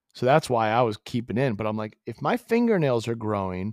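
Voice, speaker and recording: A man with an American accent speaks in an ordinary speaking voice at medium pitch and a moderate pace, his intonation lively and the sound dry and close with no echo. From Massachusetts. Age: 50s. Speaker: company founder. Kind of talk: casual chat. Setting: call.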